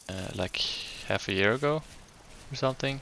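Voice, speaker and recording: A man with a Swedish accent and ordinary pitch variation, noticeable background noise behind him. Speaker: gaming YouTuber. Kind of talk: casual gameplay commentary. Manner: hesitant, many fillers.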